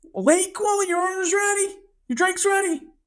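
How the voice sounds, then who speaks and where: Loud and squeaky, this put-on character voice has an extremely high pitch and moves at a moderate pace. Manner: calling out louder.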